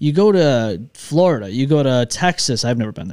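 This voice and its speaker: On a very clean recording with a silent background, a man with a Western New York accent speaks in a fairly high pitch with lively intonation. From Upstate New York (Rochester). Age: 30s. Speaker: podcast host. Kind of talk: casual chat. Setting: studio.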